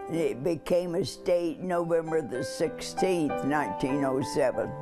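Clear music plays in the background behind a voice with an American accent. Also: woman. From Oklahoma. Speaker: interviewee. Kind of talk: interview answer. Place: home room.

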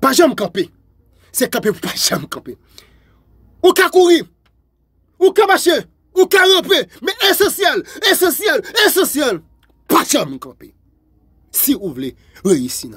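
The speaker talks at a very slow pace, with long, frequent pauses and big swings in loudness. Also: man. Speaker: motivational video host. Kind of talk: motivational speech. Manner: repetitive, emphatic.

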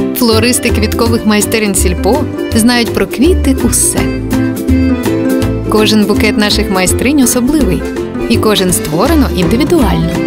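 A woman with long, frequent pauses over loud background music. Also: moderate pace. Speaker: voice-over actor. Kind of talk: TV commercial read.

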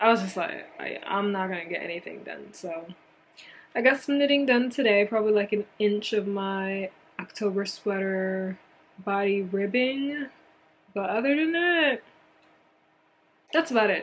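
A woman's lively intonation broken by long, frequent pauses, with noticeable background noise. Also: medium pitch for a woman, moderate pace. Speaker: knitting vlogger. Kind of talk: casual vlog talk.

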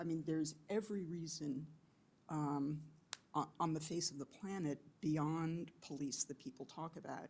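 A woman with a very deep, low pitch and a dark, mellow tone speaks at a moderate pace with fairly even intonation and long, frequent pauses. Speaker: criminal justice official. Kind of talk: panel discussion. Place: meeting room.

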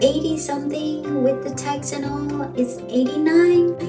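The speech comes at a very slow pace over clear music in the background. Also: woman. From Myanmar. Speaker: home tech vlogger. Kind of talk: casual tech tutorial to camera. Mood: cheerful, relaxed. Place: home room. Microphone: phone near.

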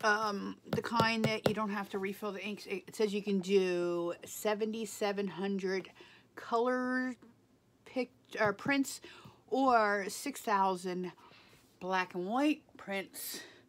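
The woman speaks at a very slow pace. Her pitch shows ordinary variation. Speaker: home vlogger. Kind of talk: casual vlog chat. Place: home room. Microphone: phone near.

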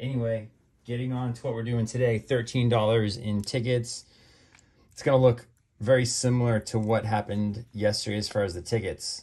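Talking at a fairly quick pace, a man sounds somewhat breathy and monotone, his intonation flat while his loudness swings widely. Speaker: lottery scratch-ticket video host. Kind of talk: casual chat while scratching lottery tickets. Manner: chatty, frequent filler words. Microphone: phone near.

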